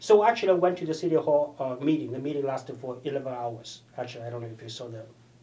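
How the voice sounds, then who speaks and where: A man talks at a very fast pace with lively intonation and big swings in loudness. His tone is dark and mellow. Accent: Chinese. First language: Chinese. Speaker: political candidate. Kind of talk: interview. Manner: halting, with frequent repetitions.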